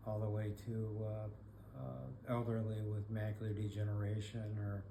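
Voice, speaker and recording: Noticeable background noise and audible room echo surround the recording. A man with an American accent speaks in a fairly low pitch with monotone, flat intonation. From Michigan. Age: 70s. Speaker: blind rehab specialist. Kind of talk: podcast monologue. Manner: halting, many fillers.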